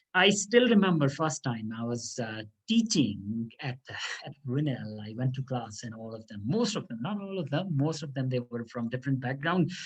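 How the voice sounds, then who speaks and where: Speaking with a Pakistani accent at a moderate pace, a man with a medium pitch sounds somewhat breathy, his intonation lively and his loudness swinging widely. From Pakistan, South Punjab. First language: Saraiki. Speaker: law lecturer. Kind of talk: interview. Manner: halting.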